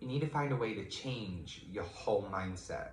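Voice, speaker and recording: Ordinary pitch variation marks this man's speech. Noticeable background noise is present. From United Kingdom. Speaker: tarot reader; life coach. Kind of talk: tarot reading talk to camera.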